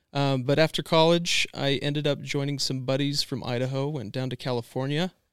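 This man has an ordinary speaking voice, fairly high in pitch, with an American accent and fairly even intonation at a fairly quick pace. The sound is dry and close with no echo, on a very clean recording with a silent background. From Washington State, US. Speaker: outdoor hunting filmmaker. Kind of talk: casual interview chat. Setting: hotel room.

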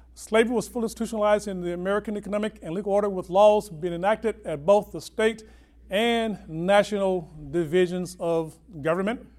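This man has a high voice. He talks at a very fast pace. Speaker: academic lecturer. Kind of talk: lecture. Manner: animated.

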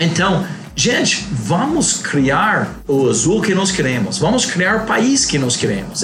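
A man with an English accent speaks at a moderate pace in a high voice, his pitch swinging very widely, over noticeable background noise and audible room echo. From US Northeast (Connecticut). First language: English (speaking Portuguese). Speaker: airline president. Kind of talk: interview.

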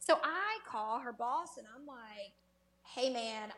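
A woman with a high voice, fairly slow, amid noticeable background noise. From Mississippi Delta.

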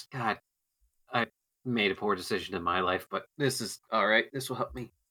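A man's raspy, put-on character voice at medium pitch and a moderate pace. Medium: actual play. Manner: rueful, muttering to himself.

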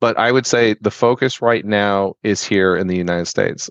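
A man speaks fairly quickly in a normal speaking voice. His pitch is fairly low and his intonation fairly even. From Florida, Tampa. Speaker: restaurant franchise growth strategist. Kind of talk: interview.

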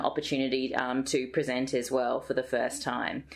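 The speaker is a woman with an Australian accent. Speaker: health psychologist, associate professor. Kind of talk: interview. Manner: hesitant with frequent fillers.

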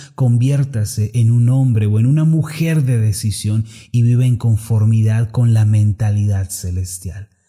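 A dark, mellow, somewhat breathy voice moves at a fairly slow pace with very even loudness and hardly any pauses. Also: man, medium pitch for a man, ordinary pitch variation. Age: 30s. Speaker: preacher. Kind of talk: sermon. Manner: formal.

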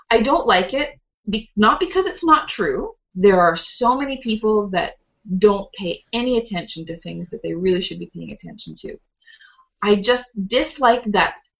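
Fairly high in pitch with vocal fry, the woman's voice makes very wide pitch swings and big swings in loudness. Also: moderate pace. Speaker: podcast co-host, financial advisor. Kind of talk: casual chat.

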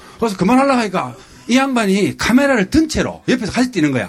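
A man is speaking. Noticeable background noise is audible behind him. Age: 50s. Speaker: travel show guest. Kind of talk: casual chat. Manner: animated.

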